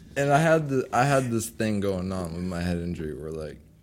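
With an American accent, a man speaks at a moderate pace in a very deep, low pitch and lively intonation. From Massachusetts. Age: 20s. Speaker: musician. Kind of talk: casual chat.

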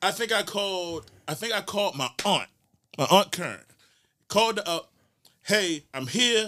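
In a very clean recording with a silent background, a man projects a raised, high-pitched voice with a bright, sharp tone at a moderate pace, leaving long, frequent pauses. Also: lively intonation. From Baltimore, East Baltimore. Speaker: police sergeant, Navy veteran. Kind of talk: casual interview chat.

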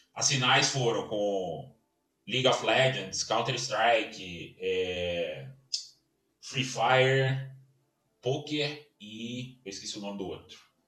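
Speaking at a very slow pace with long, frequent pauses, a man uses a medium pitch and ordinary pitch variation in a room with audible echo. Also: big swings in loudness. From Minas Gerais, Brazil (Belo Horizonte). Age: 40s. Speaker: sports consultant and event organizer. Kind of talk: casual interview. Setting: home office.

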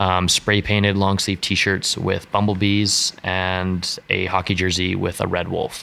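With a western Canadian accent, a man speaks at a fairly slow pace in a very deep, low pitch, a bright, sharp tone and a monotone, flat intonation. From western Canada (British Columbia, Alberta). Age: young. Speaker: street artist and clothing designer. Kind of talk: casual interview chat.

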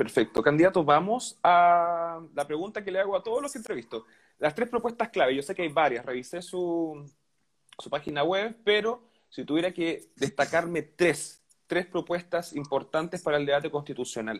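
The speaker has a Chilean accent and lively intonation, recorded very cleanly against a silent background. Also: man, high pitch for a man, moderate pace. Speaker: interviewer. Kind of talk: interview.

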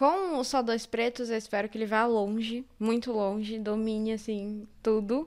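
Speaking with a São Paulo accent, a woman goes at a fairly slow pace with hardly any pauses and fairly even intonation. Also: fairly high pitch for a woman. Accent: Paulistano Portuguese. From São Paulo, Zona Sul (Campo Limpo). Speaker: actress and social educator. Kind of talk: podcast interview.

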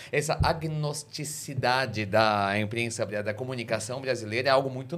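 A man in a normal speaking voice, medium in pitch, at a moderate pace with ordinary pitch variation. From Brazil. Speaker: podcast host. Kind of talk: casual interview.

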